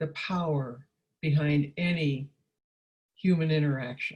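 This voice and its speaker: A woman's very deep, low voice, somewhat breathy, with ordinary pitch variation and a very slow pace. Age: 80s+. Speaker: counselor and trainer. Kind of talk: workshop talk. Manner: hesitant, with many fillers.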